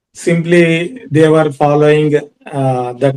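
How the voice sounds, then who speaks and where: The man's voice sits fairly high. He speaks very slowly. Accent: Indian. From India, Andhra Pradesh (Kurnool). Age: 40s. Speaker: yoga teacher and lawyer. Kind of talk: personal talk on yoga. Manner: halting, many fillers.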